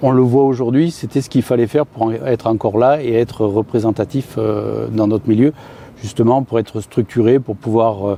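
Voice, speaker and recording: Moderate pacing and fairly even intonation in a man's medium-pitched voice. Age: 60s. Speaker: farm machinery dealer executive. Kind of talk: interview. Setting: on-site at company building. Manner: halting, many hesitations.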